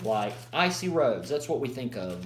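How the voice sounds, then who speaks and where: A man with an American accent talks at a medium pitch with lively intonation. Noticeable background noise and audible room echo fill the recording. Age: 20s. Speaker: college student. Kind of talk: class presentation. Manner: halting.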